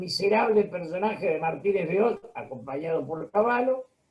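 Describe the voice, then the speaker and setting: Here a man speaks at a high pitch with ordinary pitch variation. His pace is moderate. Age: 70s. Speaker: political commentator. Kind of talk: interview.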